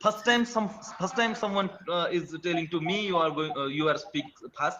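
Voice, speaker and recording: Noticeable background noise sits behind this man. His pitch is high, with ordinary pitch variation. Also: moderate pace. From India. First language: an Indian language. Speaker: teacher, language learner. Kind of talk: casual chat. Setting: video call. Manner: halting.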